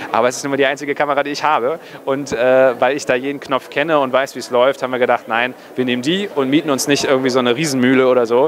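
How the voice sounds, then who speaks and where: Speech comes at a very fast pace with fairly even intonation. Light background noise runs underneath. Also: man. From northern Germany, near Kiel; northern Germany. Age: 20s. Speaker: film director. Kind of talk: casual interview. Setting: cinema premiere event. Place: hall. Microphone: handheld.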